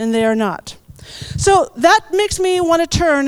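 The speaker is a woman with an American accent. Her intonation is lively. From United States. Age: 40s. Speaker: missionary and guest preacher. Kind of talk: sermon. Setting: church.

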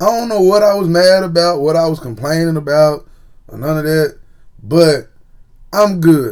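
A man with a Tennessee accent speaks in a high voice at a moderate pace. His tone is animated, broken by long, frequent pauses. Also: ordinary pitch variation. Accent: Southern US, Tennessee. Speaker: podcast host. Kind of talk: casual monologue.

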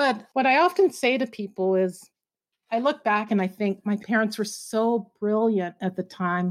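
A woman with an American accent speaks at a moderate pace in a normal speaking voice, her fairly high pitch showing ordinary variation, on a very clean recording with a silent background. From US Midwest (Oklahoma and Kansas). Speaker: journalist and journalism professor. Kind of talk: interview.

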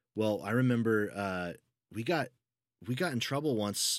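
A man with an American accent, ordinary pitch variation and a moderate pace, in a very clean recording with a silent background and a dry, close sound with no echo. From United States. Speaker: podcast co-host. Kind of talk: casual chat.

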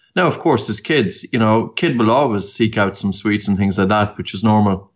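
This is a man speaking. He has an Irish accent. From Ireland, County Meath. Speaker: breathing expert. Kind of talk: interview. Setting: remote call.

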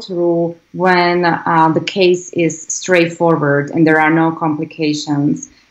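At a fairly slow pace, a woman with a Slovak accent speaks at a fairly low pitch with fairly even intonation. The background is quiet. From Slovakia. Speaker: congressional candidate. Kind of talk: interview. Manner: halting.

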